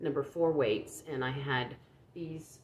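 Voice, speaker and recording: A quiet woman's voice at a fairly slow pace. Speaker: crochet vlogger. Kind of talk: casual chat. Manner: halting, many fillers and repeats; low-pitched, quiet.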